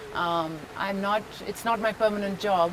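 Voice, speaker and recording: With ordinary pitch variation, a woman's medium-pitched voice comes through noticeable background noise. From Pondicherry, India. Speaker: actress. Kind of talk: interview answer.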